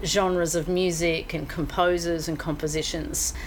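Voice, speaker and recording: In an Australian accent, a woman speaks fairly slowly at a fairly low pitch, with audible room echo and noticeable background noise. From Australia, rural Victoria. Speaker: live entertainment executive. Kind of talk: interview. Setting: book and music shop.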